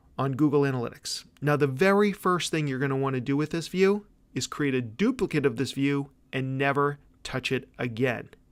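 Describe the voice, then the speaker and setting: This man speaks at a fairly high pitch with ordinary pitch variation. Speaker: webinar presenter, digital marketer. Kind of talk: webinar tutorial. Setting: live webinar with slides. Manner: fast; casual, conversational.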